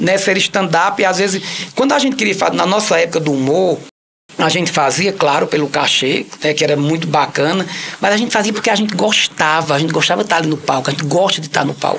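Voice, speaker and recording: Delivered at a very fast pace, the speech has a Cariri accent. Noticeable background noise runs underneath. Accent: Cariri accent, kept for life. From Ceará, Cariri (Crato). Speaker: actor and comedian. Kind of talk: interview. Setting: radio studio.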